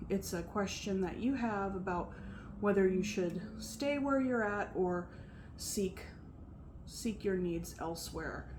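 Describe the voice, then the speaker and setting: Soft-spoken and somewhat breathy, the speech moves at a very slow pace with long, frequent pauses and ordinary pitch variation, in audible room echo. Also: woman, medium pitch for a woman. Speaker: tarot reader. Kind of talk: tarot reading.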